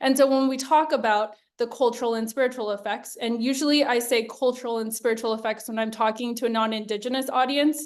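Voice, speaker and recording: A high-pitched woman races along at a very fast pace with hardly any pauses and fairly even intonation. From Hawaii. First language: Hawaiian. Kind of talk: webinar presentation.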